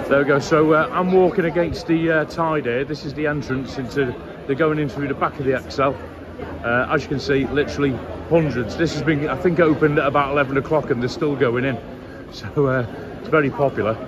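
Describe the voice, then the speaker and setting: Over noticeable background noise, a man speaks at a fairly quick pace with fairly even intonation. The sound is dry, with no echo. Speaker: vlogger. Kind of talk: casual vlog chat. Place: street. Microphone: phone near.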